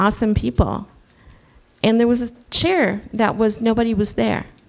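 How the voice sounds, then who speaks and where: In a Southern US accent, a woman speaks. Her pitch is fairly high. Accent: Southern US accent, can make it strong. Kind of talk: panel discussion.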